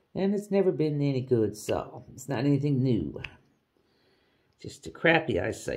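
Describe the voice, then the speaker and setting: A woman's voice is very deep and low, with a dark, mellow tone. Her pitch swings very widely. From Canada. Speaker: craft hobby vlogger. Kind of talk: casual chat while crafting. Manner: rambling, halting; slightly loud. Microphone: voice aimed at canvas, maybe muffled.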